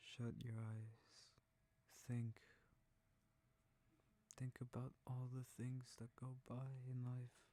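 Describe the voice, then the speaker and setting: Soft-spoken and whispering, the voice moves at a very slow pace. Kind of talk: sleep whisper narration. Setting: close mic recording. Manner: whispered, soft, slow.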